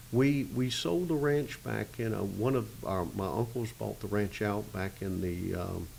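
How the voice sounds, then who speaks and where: With a Florida accent, a man speaks with hardly any pauses at a fairly low pitch, his voice making very wide pitch swings. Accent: Southern US (Florida). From Arcadia, Florida. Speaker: citrus grower, agribusiness president. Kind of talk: oral history interview answer. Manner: hesitant, casual.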